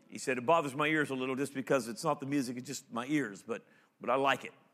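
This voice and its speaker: A man speaks at a fairly quick pace in a plain, everyday voice, pitched fairly high, on a very clean recording with a silent background. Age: 50s. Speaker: pastor. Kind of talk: sermon. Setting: stage with audience.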